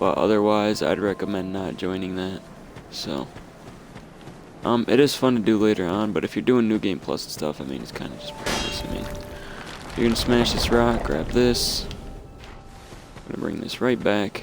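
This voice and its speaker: A fairly low-pitched man at a moderate pace, lively in intonation, with long, frequent pauses, big swings in loudness, and music in the background. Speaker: gaming YouTuber. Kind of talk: gameplay walkthrough commentary. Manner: halting, many fillers.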